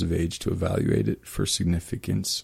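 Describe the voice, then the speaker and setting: A man speaks with a Midwestern American accent. His voice is very deep and low, with a dark, mellow tone. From eastern Kansas. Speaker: archaeologist. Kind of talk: interview. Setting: radio studio.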